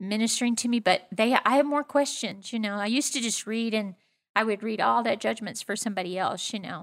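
In an unremarkable speaking voice, a woman talks at a fairly quick pace and fairly high pitch, with ordinary pitch variation. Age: 60s. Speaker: pastor. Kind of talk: casual interview conversation.

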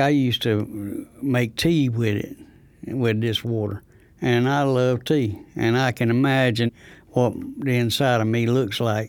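With an eastern North Carolina accent, the speaker goes at a very slow pace with fairly even intonation. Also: man. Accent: eastern North Carolina Southern. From North Carolina, Rosewood near Goldsboro. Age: 70s. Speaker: retiree affected by water contamination. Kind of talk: first-person testimony.

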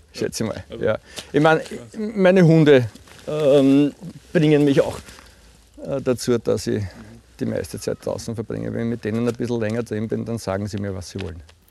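A man talks at a moderate pace, broken by long, frequent pauses. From Lower Austria, Puchberg am Schneeberg. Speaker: team-building trainer and social pedagogue. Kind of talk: casual interview. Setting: outdoors.

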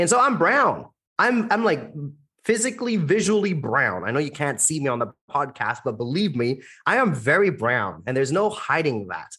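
In a quiet background, a man with an American accent speaks at a moderate pace in a confident, animated tone, his fairly high, bright, sharp voice showing vocal fry and very wide pitch swings. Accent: American-sounding English. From India, raised internationally in many countries. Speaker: event MC and public speaking coach. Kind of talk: podcast interview.

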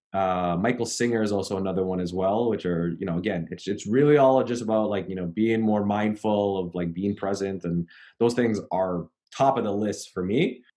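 A man with a Canadian accent speaks at a moderate pace in a dark, mellow tone, fairly low in pitch with ordinary pitch variation. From Canada. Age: 30s. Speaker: personal trainer. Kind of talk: interview.

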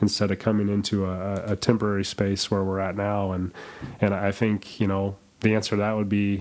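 A man's voice sits at a fairly low pitch, with monotone, flat intonation. He talks at a fairly quick pace. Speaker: church staff member and guest co-host. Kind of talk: casual chat. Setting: studio.

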